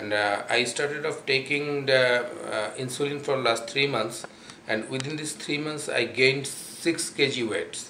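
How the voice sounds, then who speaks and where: In a Bangladeshi accent, a man speaks at medium pitch and a fairly slow pace, with fairly even intonation. Room echo is audible, and there is light background noise. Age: 40s. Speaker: patient giving testimonial. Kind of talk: testimonial. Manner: halting, many fillers. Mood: calm, earnest. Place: home room. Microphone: camera far.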